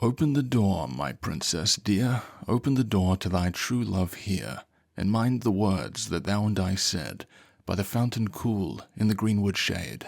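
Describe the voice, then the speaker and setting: A man does a put-on character voice at a fairly low pitch and a moderate pace, in a very clean recording with a silent background. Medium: read story. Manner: soft-spoken.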